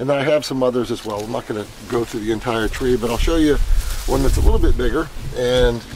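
At a fairly quick pace, a man speaks with fairly even intonation. The sound is dry with no echo, and there is light background noise. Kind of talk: casual vlog chat. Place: garden. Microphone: phone near.

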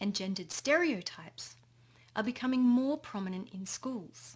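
A somewhat breathy woman at a moderate pace, her pitch swinging very widely. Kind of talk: conference presentation. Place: home room. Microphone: webcam.

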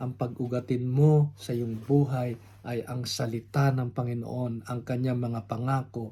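This man's voice is somewhat breathy, with a dark, mellow tone at medium pitch. He talks at a fairly slow pace in a flat, monotone intonation. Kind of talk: sermon. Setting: home recording, unedited.

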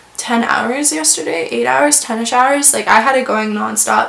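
Moderately paced female speech with audible room echo. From rural farm area. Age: 20s. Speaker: beauty vlogger. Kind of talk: casual product review monologue. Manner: chatty, many fillers. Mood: cheerful, enthusiastic. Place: home room.

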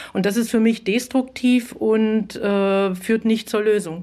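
Fairly high in pitch, a woman talks with a normal speaking voice and fairly even intonation. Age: middle-aged. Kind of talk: debate.

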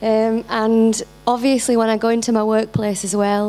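Flat, monotone delivery with noticeable background noise throughout. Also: woman. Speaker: audience member, engineer. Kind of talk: audience question. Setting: stage with audience.

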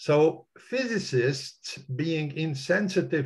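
Against a quiet background, a man's somewhat breathy voice rises and falls with lively intonation. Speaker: retired mathematics and physics professor; physics professor. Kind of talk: online discussion. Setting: video call. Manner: animated. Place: home room. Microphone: webcam.

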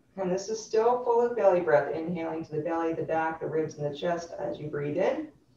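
A woman with a fairly low pitch speaks with lively intonation and hardly any pauses. Light background noise and audible room echo are present. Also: fairly quick pace. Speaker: yoga instructor. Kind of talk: guided chair yoga class. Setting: live online class. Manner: clear instructional cueing. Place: home room. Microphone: webcam.

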